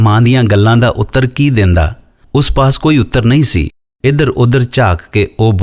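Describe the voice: Against quiet surroundings, the plain reading aloud shows ordinary pitch variation.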